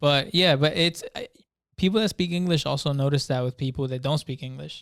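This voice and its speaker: In a very clean recording with a silent background and a dry, close sound with no echo, a man talks at a fairly quick pace with a Spanish accent and fairly even intonation. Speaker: podcast co-host. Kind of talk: casual chat.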